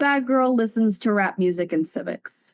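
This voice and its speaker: A woman with a Southern US accent speaks at a fairly high pitch against a quiet background. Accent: Southern American. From Alabama, USA. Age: 20s. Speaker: spoken word poet. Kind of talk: slam poetry performance. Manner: forceful.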